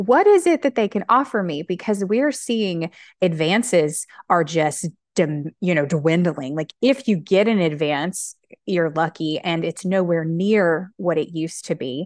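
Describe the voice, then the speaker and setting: A normal speaking voice from a woman with an American accent, fairly low in pitch with lively intonation, at a fairly slow pace over a quiet background. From US South, Alabama. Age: 30s. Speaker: author and English teacher. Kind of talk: casual chat.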